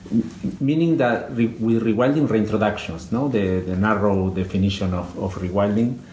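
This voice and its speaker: A man with a Spanish accent speaks at a moderate pace in a fairly low pitch with ordinary pitch variation. Audible room echo and noticeable background noise are present. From Argentina. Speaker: conservation biologist. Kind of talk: interview. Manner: halting, many fillers.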